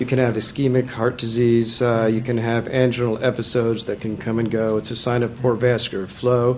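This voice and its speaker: A man's medium-pitched, monotone, flat delivery over noticeable background noise. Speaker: medical board member, physician. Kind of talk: board hearing questioning. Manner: fast.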